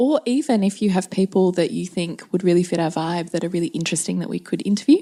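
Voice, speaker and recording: Speaking very fast in an Australian accent, a woman with a medium pitch uses lively intonation and a dark, mellow tone. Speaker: parenting podcast co-host. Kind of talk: casual podcast chat.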